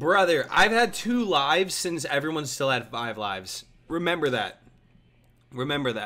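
A man with a bright, sharp tone talks at a fairly slow pace, his pitch swinging very widely. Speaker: streamer. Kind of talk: casual live gameplay commentary. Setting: livestream, gaming at home. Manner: animated, casual, profanity-laced. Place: home room.

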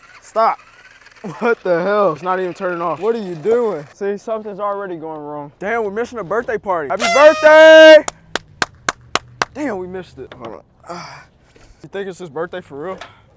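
Moderate pace from a high-pitched man, with very wide pitch swings, big swings in loudness, long, frequent pauses and noticeable background noise. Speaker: YouTuber doing RC and bike videos. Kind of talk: casual vlog chat. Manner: animated.

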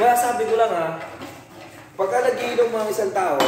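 Amid audible room echo and noticeable background noise, a man talks with a high pitch. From Philippines. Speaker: overseas worker. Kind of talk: casual vlog chat. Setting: dormitory. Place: home room. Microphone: phone near.

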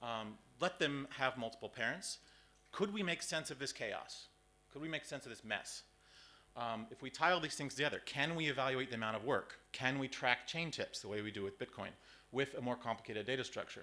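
A man speaks at a fairly quick pace in a bright, sharp tone. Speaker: conference presenter. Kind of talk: lecture. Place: hall.

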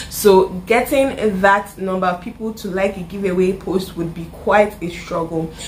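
A woman speaks at a medium pitch with a Nigerian accent, at a moderate pace and with hardly any pauses. Her intonation stays fairly even over light background noise. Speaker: YouTuber; vlogger. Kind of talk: casual vlog tutorial. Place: home room.

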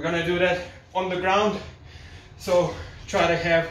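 Fairly quick speech amid light background noise and audible room echo. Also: man. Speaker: fitness instructor. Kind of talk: tutorial. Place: home room. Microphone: camera far.

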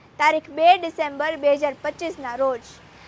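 Over noticeable background noise, a woman talks in a high-pitched voice. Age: young. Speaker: activist. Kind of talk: political speech. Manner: impassioned.

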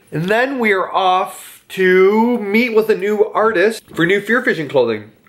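A man is speaking. He keeps a moderate pace. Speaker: vlogger. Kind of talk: casual vlog chat. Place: home room. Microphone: phone near.

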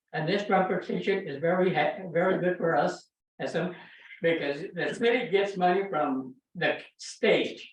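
Speaking with an American accent, a man uses a high pitch, ordinary pitch variation and a moderate pace amid audible room echo. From California, Salinas Valley. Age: 80s+. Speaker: public commenter. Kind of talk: public comment at council meeting. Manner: halting.

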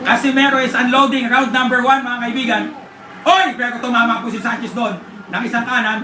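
Fairly quick speech in an excited, animated tone comes in a raised, projected voice with big swings in loudness, over noticeable background noise. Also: man, extremely high pitch for a man. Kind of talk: live sports commentary. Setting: watching a live boxing match. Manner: excited, shouting and animated, calling each punch in real time; fast, punchy, choppy delivery with interjections and filler.

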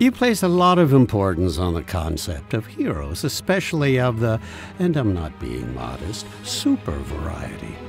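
Over clear background music, a man does a cartoonish character voice at a moderate pace, his pitch fairly low.

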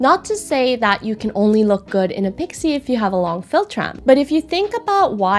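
A woman speaks at a fairly quick pace with very wide pitch swings over light background noise. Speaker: face analysis creator. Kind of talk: explanatory vlog commentary. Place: home room.

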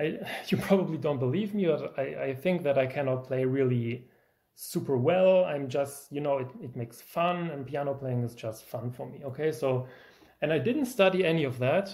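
In a German accent, a man speaks at a moderate pace with a somewhat breathy, dark, mellow tone. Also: fairly high pitch for a man, ordinary pitch variation. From Germany. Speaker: music YouTuber, pianist. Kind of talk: video lecture with demonstration. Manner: animated.

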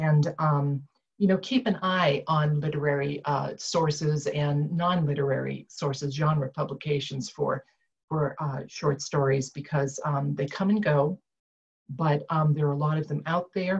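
A woman speaks fairly slowly, with a very deep, low pitch and fairly even intonation. Her voice is somewhat breathy over a quiet background. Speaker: retired IT director turned author; panelist. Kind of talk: panel discussion. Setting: video call. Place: home room. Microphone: video call.

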